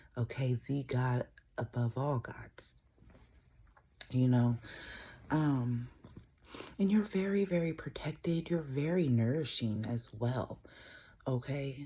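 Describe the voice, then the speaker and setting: A soft-spoken woman with a very deep, low pitch and a dark, mellow, somewhat breathy tone, at a very slow pace with long, frequent pauses and lively intonation. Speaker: tarot reader. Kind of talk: tarot reading. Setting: at home, early morning.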